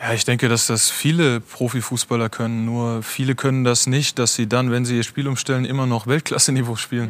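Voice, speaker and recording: At a fairly quick pace, a man talks in an ordinary speaking voice of medium pitch, with fairly even intonation and very even loudness. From Germany. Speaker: football goalkeeper. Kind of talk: talk show interview.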